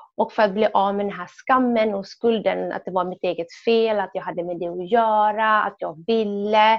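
In a normal speaking voice, a woman at medium pitch talks at a moderate pace with hardly any pauses and fairly even intonation. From Sweden, Somali family. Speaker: women's rights activist. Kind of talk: testimony.

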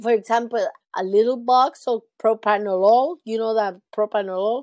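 Recorded very cleanly against a silent background with a dry, close sound and no echo, a woman with a Spanish accent speaks in a dark, mellow tone at a fairly high pitch with ordinary pitch variation. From Venezuela. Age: 50s. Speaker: heart patient and charity founder. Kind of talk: interview.

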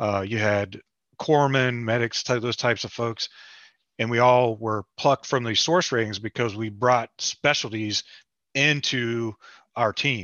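A man with an American accent talks at a fairly slow pace in an unremarkable speaking voice. His pitch is medium and his intonation fairly even. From West Virginia. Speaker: podcast co-host, active duty sailor. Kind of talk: casual chat.

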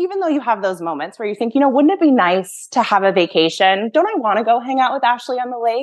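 A very fast delivery with an American accent, hardly any pauses and very wide pitch swings. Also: woman, fairly high pitch for a woman. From Massachusetts, US. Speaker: former horse professional, project manager. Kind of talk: casual interview chat.

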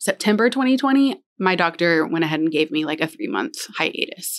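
Using a normal speaking voice, a woman with fairly low pitch speaks with lively intonation. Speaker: elementary school counselor, cancer survivor. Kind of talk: casual interview, personal testimony.

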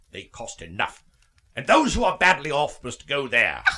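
A man uses a put-on character voice with a medium pitch and a bright, sharp tone. He talks at a moderate pace with very wide pitch swings.

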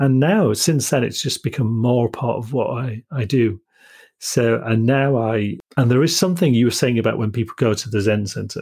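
A man speaks at a moderate pace with a Yorkshire accent, his dark, mellow tone somewhat breathy and medium in pitch, with ordinary pitch variation on a very clean recording against a silent background. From Yorkshire, northern England. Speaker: podcast host. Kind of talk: interview conversation. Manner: halting.

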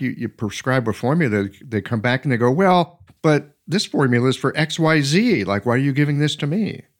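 A man with an ordinary speaking voice talks fairly quickly at a fairly high pitch, with lively intonation and hardly any pauses. The recording is very clean, with a silent background. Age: 60s. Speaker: podcast host, acupuncturist. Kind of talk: casual chat.

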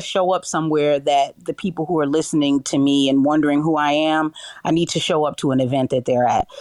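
Moderately paced speech with a New York accent, in a dry, close sound with no echo. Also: woman. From New York City. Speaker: radio on-air personality. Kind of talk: interview. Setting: audio chat app room.

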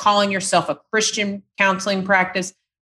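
In a dry, close sound with no echo, a woman with a normal speaking voice talks at a medium pitch and a moderate pace. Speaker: private practice consultant. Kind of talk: casual interview chat.

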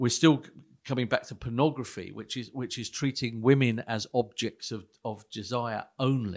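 A man talks at a moderate pace in a normal speaking voice of medium pitch. His intonation is fairly even, but his loudness swings widely. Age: 60s. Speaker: pastor. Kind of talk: casual chat.

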